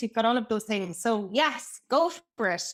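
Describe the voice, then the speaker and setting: Speaking at a moderate pace, a woman has an Irish accent. Her pitch variation is ordinary. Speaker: brand and customer experience consultant. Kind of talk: podcast interview. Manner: talkative.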